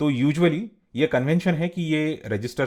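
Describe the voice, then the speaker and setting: A man speaks with a non-native accent. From India. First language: not Hindi (speaking Hindi). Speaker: teacher. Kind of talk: tutorial.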